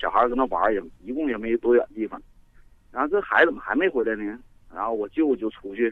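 A man in a northeastern Chinese accent talks at a fairly quick pace with lively intonation. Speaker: caller. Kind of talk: phone-in storytelling. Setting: phone call.

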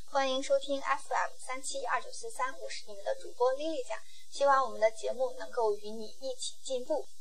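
At a moderate pace, a woman talks amid audible room echo. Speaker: podcast host. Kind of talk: casual solo podcast monologue. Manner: casual, occasional stumbles.

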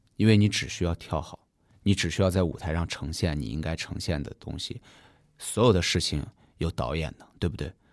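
Captured in a very clean recording with a silent background, a man's very deep, low voice shows vocal fry, big swings in loudness and ordinary pitch variation. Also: fairly quick pace. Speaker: dancer and theatre director. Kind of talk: casual podcast interview. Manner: nervous at first.

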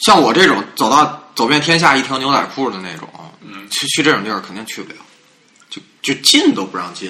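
Against noticeable background noise, a man talks at a fairly quick pace with long, frequent pauses, very wide pitch swings and big swings in loudness. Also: fairly high pitch for a man. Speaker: podcast host. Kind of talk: casual chat.

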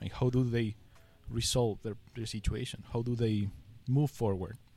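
A man with a Spanish accent speaks at a medium pitch with fairly even intonation. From Ecuador. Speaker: UX design director. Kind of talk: casual interview.

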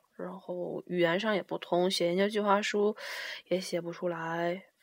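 The delivery is monotone, with flat intonation. It moves at a fairly slow pace. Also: woman. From Liaoning, northeast China (Shenyang). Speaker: international student. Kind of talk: casual chat. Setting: at home, drinking beer.

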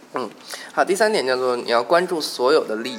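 A man is talking, and noticeable background noise can be heard along with him. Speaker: podcast host. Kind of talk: casual chat.

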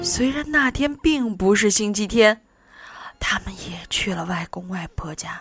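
It is plain reading aloud. The intonation rises and falls with liveliness.

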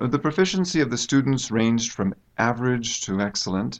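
Against a quiet background, a man with a normal speaking voice talks at a moderate pace with lively intonation. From United States. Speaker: university English teacher. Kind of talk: interview. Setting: studio.

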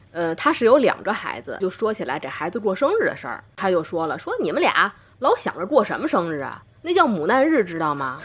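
A woman with a Tianjin accent at a medium pitch and fairly quick pace, with very wide pitch swings. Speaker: doctor and podcast host. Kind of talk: casual chat.

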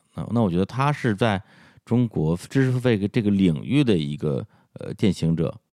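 A man's dark, mellow voice at a moderate pace with very wide pitch swings, on a very clean recording with a silent background and a dry, close sound with no echo. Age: 40s. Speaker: podcaster. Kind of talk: interview.

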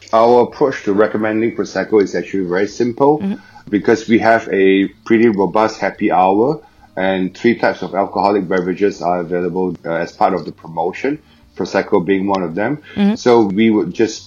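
A man's fairly low voice, with typical rise and fall, comes at a fairly quick clip while music plays behind him. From Singapore. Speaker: restaurant owner. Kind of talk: casual interview.

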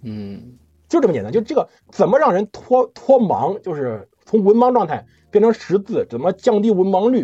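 This man talks at a moderate pace in a high voice with lively intonation, a dark, mellow tone and a dry, close sound with no echo. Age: 30s. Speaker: history podcast host. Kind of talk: casual chat.

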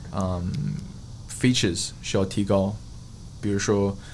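Speaking with a non-native accent, a man uses a fairly low pitch. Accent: foreign accent in Mandarin. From Australia, Queensland (Sunshine Coast). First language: English (speaking Chinese). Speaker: fitness coach and influencer. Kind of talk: casual chat. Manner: halting, many fillers and code-switching.

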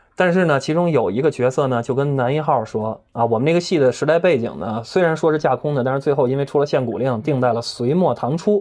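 A man speaks very fast with hardly any pauses, his pitch fairly high. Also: ordinary pitch variation. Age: 30s. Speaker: actor and host. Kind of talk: casual chat. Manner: animated.

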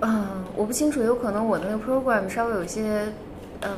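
A woman's fairly high voice with ordinary pitch variation, noticeable background noise and audible room echo. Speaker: psychology researcher. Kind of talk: casual chat.

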